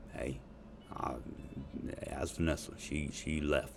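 Music plays in the background as a man with an American accent talks in a very deep, low voice. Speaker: podcast host. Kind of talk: casual profane rant. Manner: animated, profane, joking.

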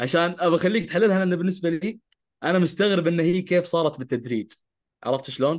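A man speaks at a fairly quick pace. His voice is high-pitched, with ordinary pitch variation. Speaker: podcast co-host who stutters. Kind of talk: casual conversational podcast chat.

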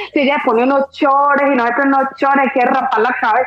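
High-pitched speech from a woman amid clearly audible background noise. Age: 40s. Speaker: guest on sex-talk podcast. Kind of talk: casual chat. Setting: online live stream.

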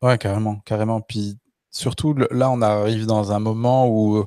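A man speaks very slowly in a fairly low, dark, mellow voice with flat, monotone intonation, recorded very cleanly, dry and close, with no echo and a silent background. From France, Le Puy-en-Velay (Haute-Loire). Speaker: podcast host and stand-up comedian. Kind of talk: casual chat.

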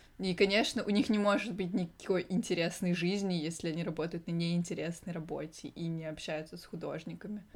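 A woman with a normal speaking voice and a fairly low pitch talks at a fairly quick pace, with hardly any pauses. Her intonation stays fairly even while her loudness swings widely. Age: 20s. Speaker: podcast co-host. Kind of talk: casual chat; reading aloud.

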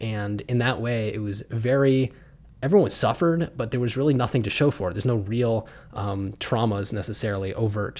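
A man with an American accent, a normal speaking voice, medium pitch, ordinary pitch variation, and a fairly quick pace. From US, Pittsburgh, Pennsylvania. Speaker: podcast host. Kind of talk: personal testimony.

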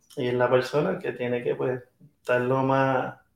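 A man's voice at a medium pitch. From Venezuela, raised in Puerto Rico. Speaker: touring musician. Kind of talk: casual interview. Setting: backstage room at music venue.

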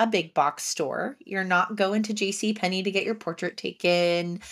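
On a very clean recording with a silent background, a woman with an American accent and a medium pitch speaks at a fairly slow pace with ordinary pitch variation. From New Jersey, Haddon Township. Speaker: podcast host. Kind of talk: casual interview chat.

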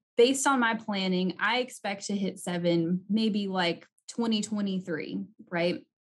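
At a very slow pace, a somewhat breathy woman speaks with ordinary pitch variation. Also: medium pitch for a woman. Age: 30s. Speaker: podcast host, CPA and CFO. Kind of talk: interview podcast. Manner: animated.

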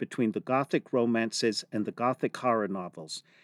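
A man speaks at a fairly quick pace and a medium pitch, with ordinary pitch variation. It is an unremarkable speaking voice, recorded with a dry, close sound and no echo. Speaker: museum podcast host. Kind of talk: educational podcast chat.

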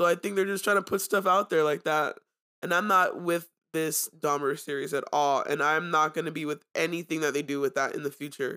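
Recorded very cleanly against a silent background, a woman speaks at a fairly quick pace in an animated, bright and sharp tone with a very deep, low pitch. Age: 20s. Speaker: pop culture podcast host. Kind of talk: casual commentary.

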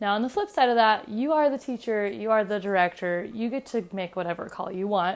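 A woman talks at a fairly quick pace with hardly any pauses, her pitch fairly high. She has an unremarkable speaking voice with ordinary pitch variation. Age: 20s. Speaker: middle school choir teacher. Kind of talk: solo podcast monologue. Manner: casual with frequent fillers.

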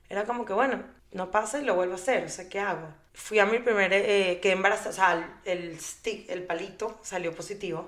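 Amid noticeable background noise, a woman with a medium pitch speaks at a fairly quick pace with fairly even intonation. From Venezuela. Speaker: mother and fertility foundation founder. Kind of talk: interview. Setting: studio.

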